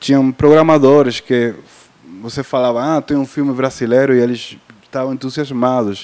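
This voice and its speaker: A man with a non-native accent speaks at a moderate pace and a medium pitch, his intonation fairly even. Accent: foreign accent in Portuguese. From Cuba. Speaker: film sales and distribution agent. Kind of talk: panel discussion. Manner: halting, many fillers.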